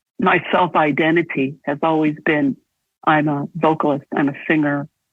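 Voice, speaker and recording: A woman with a very deep, low pitch at a very slow pace. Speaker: vocalist and composer. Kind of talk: interview. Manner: halting.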